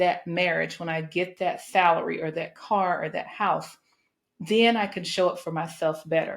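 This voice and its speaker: Her pitch is medium and her pace moderate. A woman speaks in an ordinary speaking voice with fairly even intonation. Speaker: podcast host. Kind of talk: motivational speech, podcast monologue.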